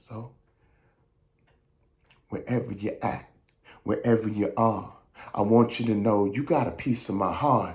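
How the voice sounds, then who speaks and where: A man with an American accent speaks in a somewhat breathy, medium-pitched voice with fairly even intonation. His pace is fairly slow, with long, frequent pauses. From New York. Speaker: actor, audiobook narrator, voice-over artist, writer. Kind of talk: spoken word poetry performance.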